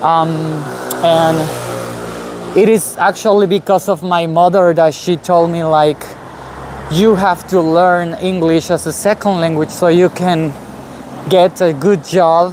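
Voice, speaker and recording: Someone with a Spanish accent talks fairly slowly with long, frequent pauses over noticeable background noise. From Guatemala. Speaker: vlogger. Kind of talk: live stream walking vlog. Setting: outdoors, walking in city. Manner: halting, many fillers.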